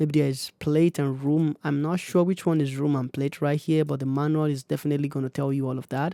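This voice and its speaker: In a very clean recording with a silent background and a dry, close sound with no echo, a man with a dark, mellow tone talks at a fairly quick pace in monotone, flat intonation. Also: fairly high pitch for a man, hardly any pauses. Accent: African. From Africa. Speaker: music producer YouTuber. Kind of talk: tutorial. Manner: casual, hesitant with fillers.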